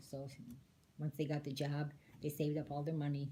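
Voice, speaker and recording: A woman with an American accent, very deep and low in pitch, dark and mellow in tone, with monotone, flat intonation at a very fast pace. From Detroit, Michigan, US. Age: 70s. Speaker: interviewee, immigrant great-aunt. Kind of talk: casual interview.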